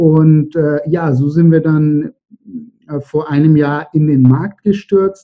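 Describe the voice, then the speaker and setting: Fairly high in pitch, a man talks at a very slow pace. His loudness stays very even and his intonation fairly even. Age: 30s. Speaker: entrepreneur. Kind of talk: interview.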